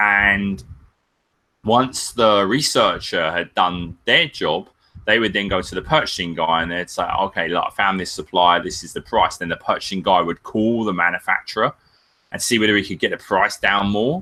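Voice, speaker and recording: A man with a British accent and a bright, sharp tone, at a moderate pace with ordinary pitch variation. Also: fairly low pitch for a man. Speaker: Amazon seller and business consultant. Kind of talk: webinar interview. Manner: casual, filler-heavy.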